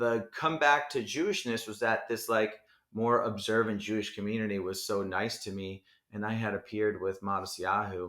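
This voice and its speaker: A man with a New Jersey accent, a bright, sharp tone and fairly low pitch, at a moderate pace with fairly even intonation. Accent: New Jersey American. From Edison, New Jersey. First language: Hebrew. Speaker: rapper. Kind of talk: casual chat. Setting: home in Brooklyn.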